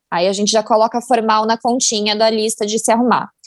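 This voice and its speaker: A woman talks at a moderate pace, her voice dry and close with no echo. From Brazil, São Paulo. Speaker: fashion marketing content producer. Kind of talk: casual chat.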